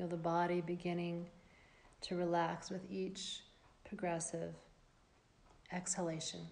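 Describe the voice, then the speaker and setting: A woman speaks in a calm tone with a fairly low pitch and monotone, flat intonation. Her pace is fairly slow, broken by long, frequent pauses. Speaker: yoga nidra teacher. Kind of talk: guided meditation. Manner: slow, soft-spoken, soothing; calm, with long pauses.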